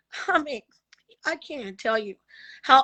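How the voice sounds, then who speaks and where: A woman's voice, high in pitch. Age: 50s. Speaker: testimony guest with diabetes. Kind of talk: testimony.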